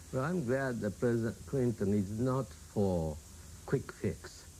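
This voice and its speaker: A man speaks with a Japanese accent in a dark, mellow tone. His pace is fairly slow, with ordinary pitch variation. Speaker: prime minister of Japan. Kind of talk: TV interview answer.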